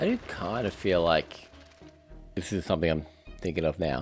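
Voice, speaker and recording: His pitch sits very deep and low. The man delivers his words at a fairly slow pace. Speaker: game streamer. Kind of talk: gameplay commentary. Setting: live stream. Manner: soft-spoken.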